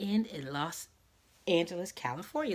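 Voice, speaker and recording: In an American accent, a woman speaks with an animated tone at a fairly slow pace. The recording is very clean, with a silent background. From Philadelphia, US. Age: 40s. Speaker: YouTube host, amateur singer. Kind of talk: casual monologue concert review.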